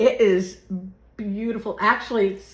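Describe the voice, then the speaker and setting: The speaker goes fairly slowly with fairly even intonation, and noticeable background noise is present. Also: woman. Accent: Southern US. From Florida. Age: 60s. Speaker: YouTuber. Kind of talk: casual chat. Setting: at home. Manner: rambling, casual.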